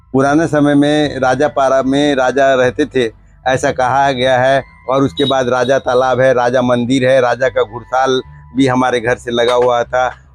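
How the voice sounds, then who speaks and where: With music in the background, a man talks at medium pitch in a monotone, flat delivery at very even loudness. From Chhattisgarh, Deobhog. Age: 60s. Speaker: local family elder, temple caretaker. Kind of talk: interview.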